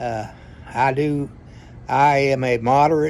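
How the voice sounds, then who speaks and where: With a Tennessee accent, a man speaks at a fairly high pitch and ordinary pitch variation. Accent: US Southern (Tennessee). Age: 70s. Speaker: retired attorney telling family history. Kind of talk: storytelling monologue. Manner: halting, many fillers.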